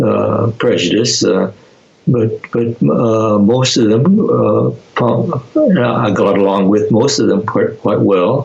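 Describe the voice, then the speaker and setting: Over noticeable background noise, a man speaks at a very slow pace with very even loudness. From US Pacific Northwest, rural Oregon near Portland. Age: 90s. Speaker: internment camp survivor. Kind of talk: interview. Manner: halting, many repetitions and fillers.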